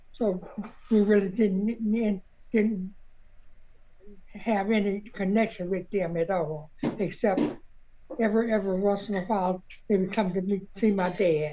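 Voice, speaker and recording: The tone is dark and mellow, with fairly even intonation. Delivery is fairly slow, broken by long, frequent pauses. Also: woman, medium pitch for a woman. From Southern US. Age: 80s+. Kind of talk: interview answer.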